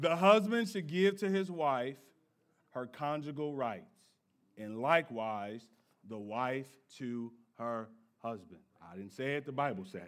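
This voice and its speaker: Speaking at a fairly slow pace with long, frequent pauses, a man uses a medium pitch with very wide pitch swings, an animated, playful tone and big swings in loudness. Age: 30s. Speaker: pastor. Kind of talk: sermon, lively conversational church preaching with congregation call-and-response. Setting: church with live congregation. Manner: animated, playful and joking, riffing with the crowd; emphatic, punchy declarations drawing amens.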